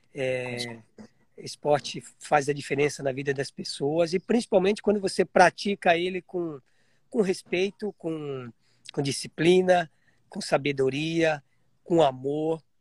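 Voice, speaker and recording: A man with a normal speaking voice, fairly high in pitch with ordinary variation, speaks fairly slowly in a dry, close sound with no echo. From Piedade, interior of São Paulo, Brazil. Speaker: marathon champion runner. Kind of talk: casual chat.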